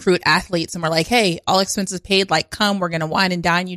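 On a very clean recording with a silent background and a dry, close sound with no echo, a woman with an American accent speaks very fast in a fairly low pitch and fairly even intonation. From Pennsylvania, Harrisburg. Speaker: comedian. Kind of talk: casual chat.

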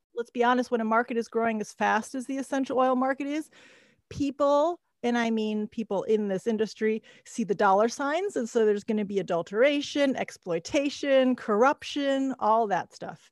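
Here a woman with a normal speaking voice and an American accent talks at a fairly high pitch and a moderate pace with ordinary pitch variation, recorded very cleanly against a silent background in a dry, close sound with no echo. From United States. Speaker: podcast host. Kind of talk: interview intro and conversation.

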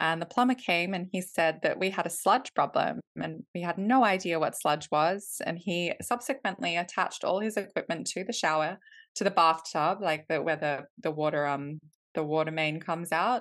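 A woman speaks at a moderate pace in an Australian accent, her pitch fairly low. Her pitch varies in an ordinary way against a quiet background. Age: 30s. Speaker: company co-founder. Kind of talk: casual interview.

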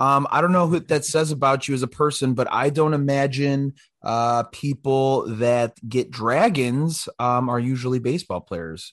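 A man with an American accent speaks in an unremarkable speaking voice at a medium pitch, keeping a moderate pace with hardly any pauses and ordinary pitch variation. The sound is dry and close with no echo, over a quiet background. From Illinois, US Midwest. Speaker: podcast co-host. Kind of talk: casual chat.

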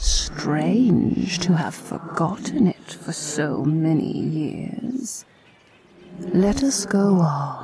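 A very slow, middle-pitched put-on character voice. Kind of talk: Victorian ghost-story drama. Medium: audio drama. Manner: solemn, measured, commanding.

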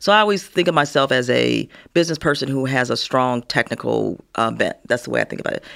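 Someone with an American accent speaks at a very fast pace on a very clean recording with a silent background. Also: woman. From US Midwest, Gary, Indiana. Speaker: retired corporate executive. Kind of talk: interview.

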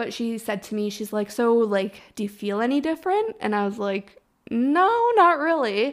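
Against a silent background in a very clean recording, a woman with a normal speaking voice talks at a moderate pace, her fairly high pitch carried by lively intonation. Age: 20s. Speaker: podcast host. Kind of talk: casual chat.

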